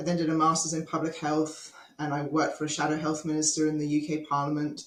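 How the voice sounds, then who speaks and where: A woman speaks very fast in a very deep, low pitch with monotone, flat intonation. Room echo is audible. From Australia. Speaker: health policy advocate. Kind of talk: podcast interview. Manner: conversational with frequent fillers.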